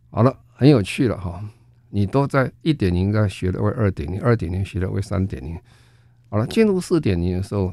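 Speaking with a Taiwanese accent, a man uses a fairly low, dark and mellow voice with lively intonation at a moderate pace. The recording is very clean, with a silent background. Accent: Taiwanese Mandarin. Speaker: foundation chairman and sustainability expert. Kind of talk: radio interview. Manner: halting, many fillers.

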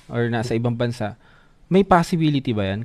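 This man's intonation is lively, and he keeps a moderate pace. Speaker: livestream host. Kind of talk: live stream interview. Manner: slightly stumbling speech.

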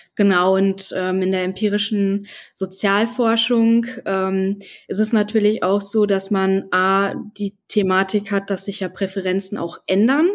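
The recording is very clean, with a silent background. The delivery is fairly slow and monotone, with flat intonation. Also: woman, medium pitch for a woman. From North Rhine-Westphalia, Germany. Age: 20s. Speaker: podcast co-host, finance student. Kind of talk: interview conversation.

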